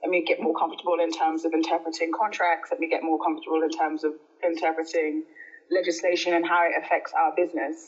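Delivered very fast in a Birmingham accent, the speech has monotone, flat intonation and very even loudness. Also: woman, fairly low pitch for a woman. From Birmingham, England. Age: 30s. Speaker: energy company executive. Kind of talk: casual interview.

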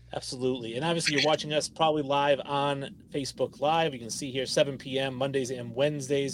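A man's fairly quick, fairly high-pitched speech comes through noticeable background noise. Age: late 30s. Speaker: sports podcast host. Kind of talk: casual chat. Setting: live stream.

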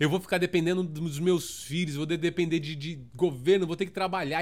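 In a São Paulo accent, a man with a high pitch speaks at a moderate pace in an animated tone, on a very clean recording with a silent background. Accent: Paulistano Brazilian Portuguese. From Brazil, São Paulo (south zone). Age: 30s. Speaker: podcast host. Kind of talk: casual solo monologue.

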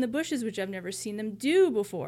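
A woman with an American accent speaks in a normal speaking voice, fairly high in pitch. Her intonation is lively, and the recording is very clean with a silent background. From US. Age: 20s. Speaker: podcast co-host. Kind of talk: casual chat.

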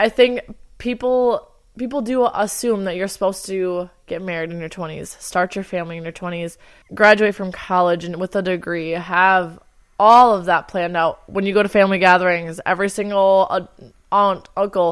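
Heard in a very clean recording with a silent background, a woman with an ordinary speaking voice talks at a medium pitch and a moderate pace. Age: 20s. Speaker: podcast co-host. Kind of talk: casual chat.

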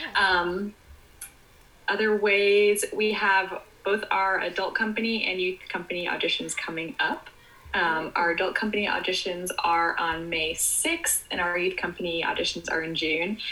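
A woman with a medium-pitched voice talks at a moderate pace, her pitch varying in an ordinary way, as noticeable background noise continues. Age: 20s. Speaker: dance teacher. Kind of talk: casual interview. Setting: video call.

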